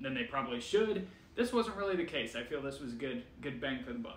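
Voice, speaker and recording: There is light background noise and audible room echo. A man talks at a moderate pace. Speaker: food reviewer. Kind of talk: casual vlog chat. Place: home room.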